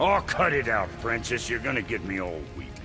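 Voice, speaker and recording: A gruff, put-on character voice from a man at medium pitch, fairly quick, over loud background noise. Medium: video game. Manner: gruff, cranky.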